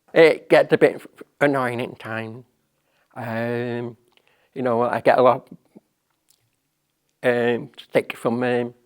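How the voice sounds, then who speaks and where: Speaking very slowly in a monotone, flat voice, the man leaves long, frequent pauses. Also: medium pitch for a man, big swings in loudness. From northern England, Salford. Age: 60s. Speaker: deaf artist. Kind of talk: personal testimony. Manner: halting.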